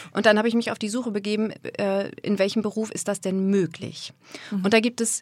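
A woman with a plain, everyday voice at medium pitch and a fairly quick pace, in a very clean recording with a silent background and a dry, close sound with no echo. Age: 40s. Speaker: voice and speech coach. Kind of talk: interview.

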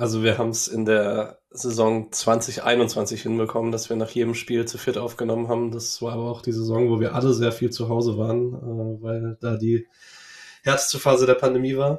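The man talks at a moderate pace with monotone, flat intonation. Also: medium pitch for a man. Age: 20s. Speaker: football fan podcaster. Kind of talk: casual interview chat.

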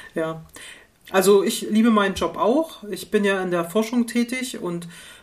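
A woman talks at a medium pitch in a plain, everyday voice. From East Germany, Rostock. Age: 50s. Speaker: university engineering researcher. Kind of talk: casual interview conversation. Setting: online call.

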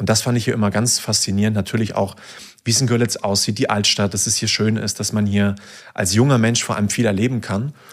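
At a very fast pace, a man talks in a fairly low pitch with monotone, flat intonation. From Saxony, Germany (near Dresden). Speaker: university student. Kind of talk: casual interview.

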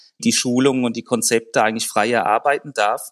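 Dry and close with no echo, a man's medium-pitched voice moves at a fairly quick pace. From Germany. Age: 40s. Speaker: corporate training academy head, engineer. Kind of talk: podcast interview.

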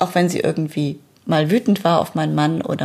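With a very deep, low pitch, a woman speaks at a moderate pace and ordinary pitch variation. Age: 40s. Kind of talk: personal testimony.

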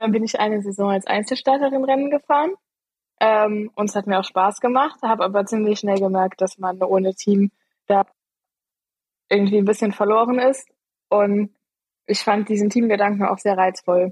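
Recorded dry and close with no echo, a woman at a medium pitch keeps a moderate pace, very even loudness and fairly even intonation, with long, frequent pauses. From Eifel, western Germany. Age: 20s. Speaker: amateur racing cyclist. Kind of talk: casual interview.

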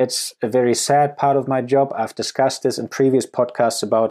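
In a German accent, a man talks at a fairly quick pace in a dark, mellow tone, captured in a very clean recording with a silent background. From Germany. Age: 30s. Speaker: wildlife conservationist. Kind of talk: podcast Q&A monologue.

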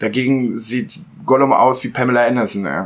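The man speaks in a medium pitch. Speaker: podcast co-host. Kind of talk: casual chat. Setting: sharing one mic with others at home.

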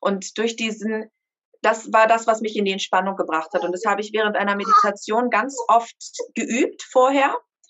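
At a moderate pace, a woman talks in an ordinary speaking voice, her pitch fairly high and her intonation fairly even. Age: 30s. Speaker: mother sharing birth story. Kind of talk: interview testimony.

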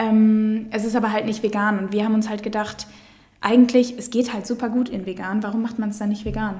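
Speaking at a moderate pace, a woman with fairly high pitch is heard with audible room echo and noticeable background noise. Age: 20s. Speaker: food startup co-founder. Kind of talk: casual interview. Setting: studio, in person.

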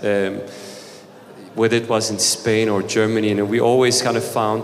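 In a Turkish accent, a man with a fairly low pitch speaks with fairly even intonation, with audible room echo and noticeable background noise. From Turkey. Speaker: startup founder. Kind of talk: panel discussion. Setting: stage with audience.

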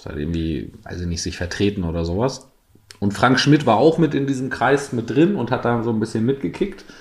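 Speaking at a fairly quick pace, a man uses a medium pitch with very wide pitch swings. His voice is somewhat breathy and shows big swings in loudness. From East Frisia, northern Germany. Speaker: football club PR officer. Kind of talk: casual chat.

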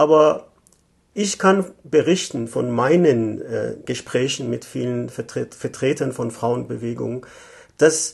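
Very slow speech with a Persian accent. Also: man. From Iran, Tehran. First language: Persian (speaking German). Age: 50s. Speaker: economic consultant. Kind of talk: interview. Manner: hesitant, many fillers.

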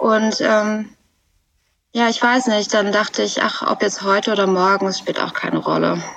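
At a moderate pace, a woman speaks in a fairly high, monotone voice with flat intonation and very even loudness. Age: 20s. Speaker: podcast guest sharing personal problems. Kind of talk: personal conversation about heartbreak. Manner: halting, many filler words.

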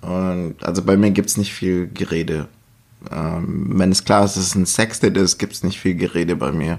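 Noticeable background noise sits behind a man speaking at a fairly slow pace. His pitch is very deep and low. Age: 30s. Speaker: podcast guest. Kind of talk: casual chat. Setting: at the guest's home in Stuttgart.

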